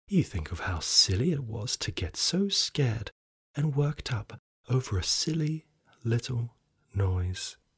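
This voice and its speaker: A man with a medium pitch speaks at a fairly slow pace in a somewhat breathy voice, his pitch swinging very widely. The sound is dry and close, with no echo. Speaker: podcast storyteller. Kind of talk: ghost story telling, scripted narration in second person. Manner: slow, hushed and suspenseful, building dread.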